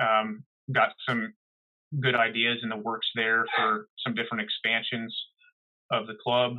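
A man with an American accent speaks at medium pitch and a fairly slow pace, in a flat monotone with long, frequent pauses. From US Northeast, New Jersey. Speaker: holster maker and competitive shooter. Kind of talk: casual interview.

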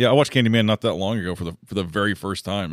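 In a very clean recording with a silent background and a dry, close sound with no echo, a man with a very deep, low pitch and vocal fry speaks with lively intonation. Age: 30s. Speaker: comedian. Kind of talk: casual chat. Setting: studio.

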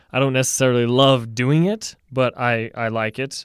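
Speaking at a moderate pace with fairly even intonation, a man has a medium pitch and an unremarkable speaking voice, on a very clean recording with a silent background and a dry, close sound with no echo. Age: 20s. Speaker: psychology podcast co-host, neuroscience student. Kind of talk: casual interview discussion.

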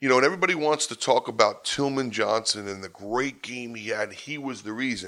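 A man talks at a fairly quick pace with hardly any pauses. His tone is bright and sharp, and his loudness swings a lot. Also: ordinary pitch variation. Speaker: college lacrosse coach. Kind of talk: interview storytelling.

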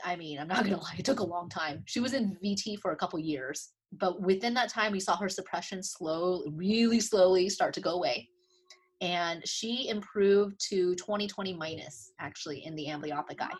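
Against a quiet background, a woman speaks in a somewhat breathy, medium-pitched voice with ordinary pitch variation. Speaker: optometrist and clinical professor. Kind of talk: interview. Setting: video call. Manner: fast.

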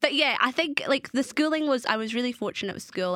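A woman talks at a very fast pace with very wide pitch swings. Noticeable background noise runs under her voice. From South Africa. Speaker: reality TV star and advocate. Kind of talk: casual interview chat.

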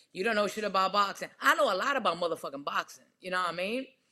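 A woman with an American accent sounds animated, her bright, sharp tone carried by lively intonation. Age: 40s. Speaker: professional boxer and trainer. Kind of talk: casual chat.

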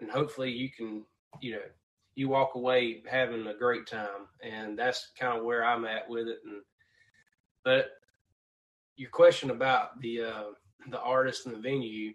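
A man with a Southern US accent talks at medium pitch with monotone, flat intonation. His fairly slow speech has long, frequent pauses and big swings in loudness. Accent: Southern US (Georgia). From Georgia, US South. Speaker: country singer-songwriter. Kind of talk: casual interview chat.

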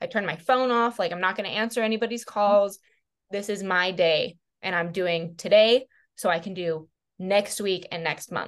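With an American accent, a woman talks at a moderate pace at medium pitch, with ordinary pitch variation, an ordinary speaking voice, and a quiet background. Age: 20s. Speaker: realtor and club manager. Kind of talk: casual chat.

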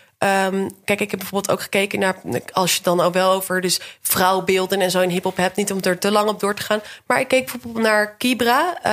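Speaking at a fairly quick pace, a woman uses a normal speaking voice at medium pitch with fairly even intonation. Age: 20s. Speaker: PhD researcher. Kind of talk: casual interview.

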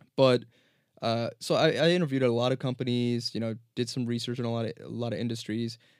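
Speaking at a very fast pace, a man with an American accent keeps his intonation fairly even. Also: medium pitch for a man. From New Jersey. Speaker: finance professional. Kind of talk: casual chat. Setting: studio.

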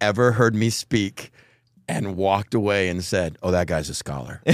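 A man with an American accent and a plain, everyday voice, moderate pace, ordinary pitch variation, on a very clean recording with a silent background. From Texas. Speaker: megachurch pastor. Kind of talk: casual interview chat.

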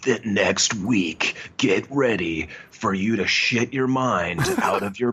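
A put-on character voice from a man at a medium pitch and fairly slow pace. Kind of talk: trailer announcer delivery. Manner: dramatic.

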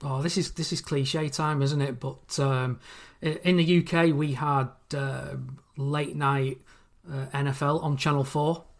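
Here a man speaks at a fairly high pitch, somewhat breathy. His intonation stays flat and monotone, and his pace is fairly slow. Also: very clean recording, silent background. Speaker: listener fan guest. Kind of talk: casual interview.

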